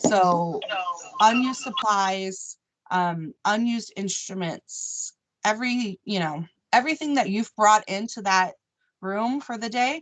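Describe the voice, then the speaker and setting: A woman with an ordinary speaking voice talks at a fairly slow pace in a fairly high pitch, with ordinary pitch variation. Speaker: operating room nurse educator. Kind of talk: staff training meeting.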